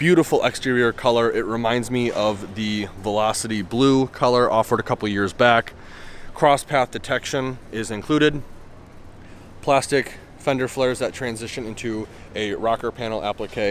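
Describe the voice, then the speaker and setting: Against light background noise, a man talks at a moderate pace with fairly even intonation, the sound dry with no echo. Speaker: car reviewer. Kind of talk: commentary. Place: hall. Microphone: phone near.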